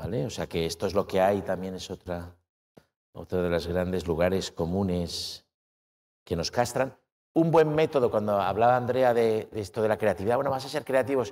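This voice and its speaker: Over a quiet background, a man speaks at a moderate pace. His voice is fairly low in pitch with lively intonation. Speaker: author and philosopher; speaker. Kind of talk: academic lecture. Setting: stage with audience. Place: hall. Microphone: lapel.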